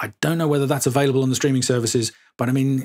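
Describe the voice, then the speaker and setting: A man with a southern English accent speaks with fairly even intonation in a dry, close sound with no echo. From England, Suffolk. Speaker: podcast host. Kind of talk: casual chat. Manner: hesitant, many fillers.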